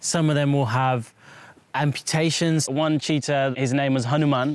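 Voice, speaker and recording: A man talks at a moderate pace with monotone, flat intonation and fairly high pitch. The sound is dry and close, with no echo. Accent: Birmingham. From West Midlands, England (Birmingham). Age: 20s. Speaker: wildlife vet. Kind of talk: documentary interview.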